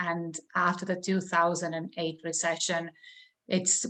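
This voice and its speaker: With an Estonian accent, a woman speaks in a fairly low pitch at a moderate pace. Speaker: real estate broker and trainer. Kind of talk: interview.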